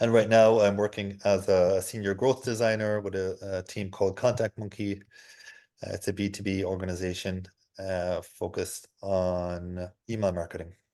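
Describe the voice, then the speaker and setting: Over a quiet background, a man with a fairly low pitch and a dark, mellow tone speaks at a moderate pace in a monotone, flat intonation. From Ireland. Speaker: senior product designer. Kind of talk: testimony. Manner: halting, with frequent repeated words.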